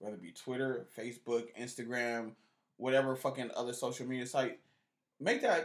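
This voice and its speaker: A man speaks at a moderate pace in a medium pitch. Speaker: podcast co-host. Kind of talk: casual banter podcast.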